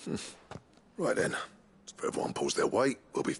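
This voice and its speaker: A man puts on a raspy character voice. He delivers it at a moderate pace. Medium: short film. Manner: gruff.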